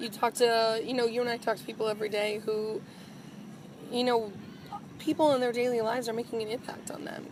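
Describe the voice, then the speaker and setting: Against noticeable background noise, a woman speaks fairly quickly in a fairly high pitch with monotone, flat intonation. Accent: American. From Wisconsin, Green Bay. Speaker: TV news anchor and reporter. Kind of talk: interview.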